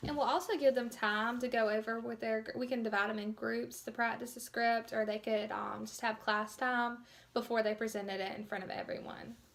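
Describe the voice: Her voice fairly high and fairly bright, a woman speaks with vocal fry at a moderate pace and with fairly even intonation.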